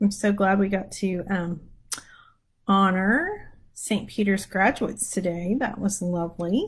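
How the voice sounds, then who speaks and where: The voice is somewhat breathy, with fairly even intonation and very even loudness. It moves at a fairly slow pace over a quiet background. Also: woman, medium pitch for a woman. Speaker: prayer leader; livestream prayer host. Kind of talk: casual chat before prayer. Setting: live stream on social media. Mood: relaxed, warm. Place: home room. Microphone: lapel.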